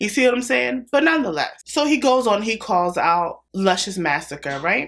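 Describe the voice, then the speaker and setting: A woman speaks loudly in a fairly high pitch, with an animated tone and very wide pitch swings. The recording is very clean with a silent background. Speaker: commentary YouTuber. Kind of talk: casual commentary.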